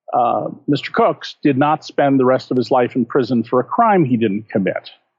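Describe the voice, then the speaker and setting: A man at a moderate pace, his loudness very even throughout. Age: 60s. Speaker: investigative journalist and author. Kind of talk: interview.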